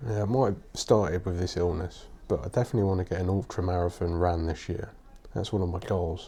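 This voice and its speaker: The voice is quiet, somewhat breathy, and strained. Its pace is very fast. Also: man, very deep, low pitch for a man, ordinary pitch variation. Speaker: podcaster, writer. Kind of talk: casual podcast talk. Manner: quiet, restrained.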